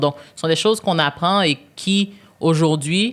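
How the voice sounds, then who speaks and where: In a very clean recording with a silent background, a woman speaks. Her pitch is very deep and low, with ordinary variation. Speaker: business executive and board member. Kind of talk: podcast interview. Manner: loud; hesitant, many fillers.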